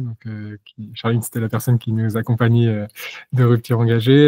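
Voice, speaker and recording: A man is speaking. His pitch is medium. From Normandy, France. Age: 30s. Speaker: company founder. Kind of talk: interview. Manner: halting, many hesitations.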